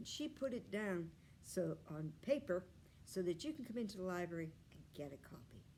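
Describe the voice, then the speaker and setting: A woman's medium-pitched voice with vocal fry and very wide pitch swings, at a moderate pace. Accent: American. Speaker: library storyteller. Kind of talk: children's storytelling read-aloud.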